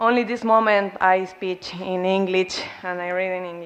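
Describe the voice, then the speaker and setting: At a fairly slow pace, a woman with a Spanish accent speaks at a medium pitch with fairly even intonation. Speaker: student activist, award recipient. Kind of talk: award acceptance speech. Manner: halting.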